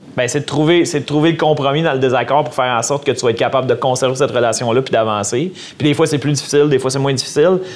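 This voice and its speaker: Through noticeable background noise, a man speaks at a very fast pace in a fairly high pitch with fairly even intonation. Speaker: lawyer and podcast host. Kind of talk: casual interview.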